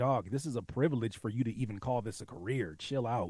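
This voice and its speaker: At a fairly quick pace, a man talks at a medium pitch in an ordinary speaking voice. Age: 30s. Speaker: music producer and rapper. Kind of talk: casual chat.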